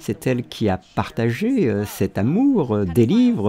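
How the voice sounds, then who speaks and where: The man's intonation is lively, at a medium pitch. Noticeable background noise runs behind him. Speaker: voice-over dubber. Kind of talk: dubbed commentary podcast read. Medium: dub.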